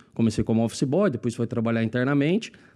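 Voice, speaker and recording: Against a quiet background, the voice carries a dark, mellow tone in an interior São Paulo accent. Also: man. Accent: interior São Paulo accent, rolled R. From Lins, interior of São Paulo state. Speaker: marketing executive. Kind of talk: casual chat.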